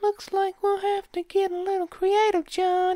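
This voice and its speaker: A woman puts on a squeaky character voice, extremely high in pitch with monotone, flat intonation. The sound is dry and close, with no echo. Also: moderate pace. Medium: read story. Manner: light, wry.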